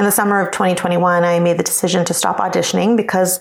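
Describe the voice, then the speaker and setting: Speaking very fast, a woman keeps to a medium pitch. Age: 40s. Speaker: office manager and former actor. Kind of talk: recorded listener question.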